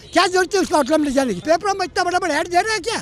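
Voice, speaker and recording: A man with an extremely high pitch speaks in an animated, angry tone against noticeable background noise. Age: 80s+. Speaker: voter interviewed on the street. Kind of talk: street interview, heated political opinion.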